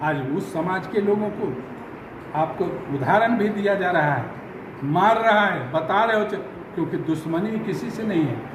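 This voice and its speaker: Over noticeable background noise and audible room echo, a man speaks in a high pitch with ordinary pitch variation. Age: 70s. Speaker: Dalit community leader and army veteran. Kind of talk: news interview. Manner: animated.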